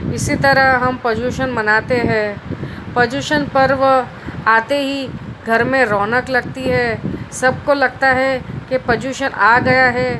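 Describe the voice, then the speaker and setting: Noticeable background noise sits behind a woman with a high pitch. Her intonation stays monotone and flat. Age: 30s. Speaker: speech competition participant. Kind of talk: prepared speech. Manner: halting with fillers.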